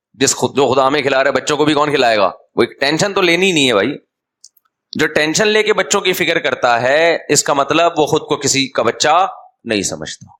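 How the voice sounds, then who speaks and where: A man's fairly high voice, animated in tone, with lively intonation. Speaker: Islamic scholar giving a sermon. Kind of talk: religious sermon (bayan). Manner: conversational, humorous, animated.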